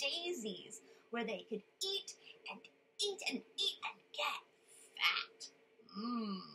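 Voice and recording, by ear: Someone reads aloud in a natural voice, their intonation lively throughout.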